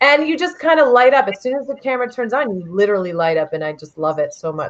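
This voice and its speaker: A woman talks loudly at a very fast pace, her pitch swinging very widely. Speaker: travel TV host. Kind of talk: casual chat. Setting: live video stream. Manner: animated.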